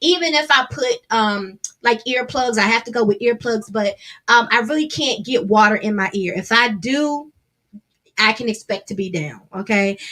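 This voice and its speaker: Loud and fairly high in pitch, a woman's voice has a bright, sharp tone. She keeps a moderate pace with ordinary pitch variation. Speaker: gospel singer and songwriter. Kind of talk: casual livestream talk.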